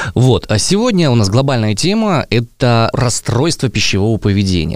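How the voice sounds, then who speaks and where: The recording is very clean and the background silent. In it, a man talks at a very fast pace. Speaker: podcast host. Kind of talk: casual chat.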